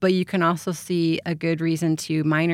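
A woman with a plain, everyday voice at a moderate pace, on a very clean recording with a silent background. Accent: American. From California and eastern Idaho. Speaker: English education professor. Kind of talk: interview. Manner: casual with frequent fillers.

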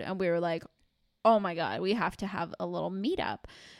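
A woman speaks with ordinary pitch variation. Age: 20s. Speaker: podcast co-host. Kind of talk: casual chat. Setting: remote recording from home.

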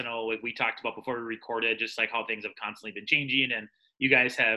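Bright and sharp, the man's tone stands out. He talks very fast. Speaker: podcast host. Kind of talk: casual roundtable chat. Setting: video call. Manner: usually talks fast.

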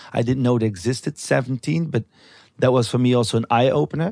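A man's medium-pitched voice in a Flemish accent, lively in intonation and fairly quick, with a dry, close sound and no echo. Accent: Belgian Dutch-accented English. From Belgium. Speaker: artist and TV host, researcher of fantasies. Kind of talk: casual interview conversation. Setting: recorded in a bed in Amsterdam.

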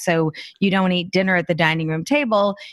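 Against a quiet background, a woman uses a normal speaking voice at a medium pitch with ordinary pitch variation. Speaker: author and professional organizer. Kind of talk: interview conversation.

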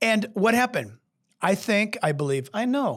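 Set against a silent background in a very clean recording, a man with an American accent speaks at a fairly slow pace in an animated tone. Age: 60s. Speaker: pastor. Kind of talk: podcast teaching on history and faith. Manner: animated, with many restarts and fillers.

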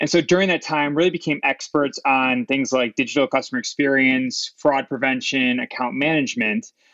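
In a normal speaking voice, a man with a fairly high pitch speaks at a fairly quick pace with hardly any pauses. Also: ordinary pitch variation. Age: 30s. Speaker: fintech CEO. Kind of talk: interview.

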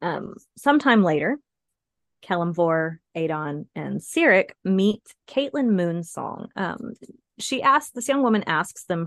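An ordinary speaking voice, a woman's at medium pitch with lively intonation, comes across as a dry, close sound with no echo. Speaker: podcast co-host. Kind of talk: casual informative chat.

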